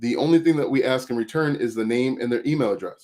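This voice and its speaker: A man at a medium pitch speaks at a fairly quick pace with fairly even intonation on a very clean recording with a silent background. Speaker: affiliate marketing coach. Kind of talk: livestream tutorial. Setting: YouTube livestream. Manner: fast.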